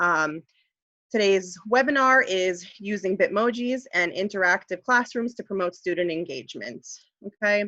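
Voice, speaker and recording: Bright and sharp in tone, a woman speaks at a medium pitch and moderate pace with ordinary pitch variation, the sound dry with no echo and the background quiet. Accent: slight New York. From US, New York. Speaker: high school ESL teacher. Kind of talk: webinar tutorial. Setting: online webinar. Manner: clear, careful speaking. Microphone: video call.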